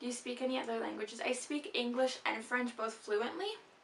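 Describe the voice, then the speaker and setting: A woman with a Canadian accent speaks at a high pitch with fairly even intonation. Noticeable background noise can be heard. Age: young. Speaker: vlogger. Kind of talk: casual chat.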